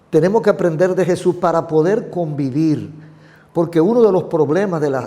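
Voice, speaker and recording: High pitch for a man and a dark, mellow tone in a male voice. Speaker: pastor. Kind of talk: interview.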